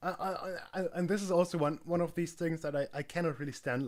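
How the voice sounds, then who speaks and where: On a very clean recording with a silent background, a man with a fairly high pitch speaks at a fairly quick pace with ordinary pitch variation. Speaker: streamer. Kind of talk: live reaction stream. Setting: live stream. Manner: hesitant, many fillers.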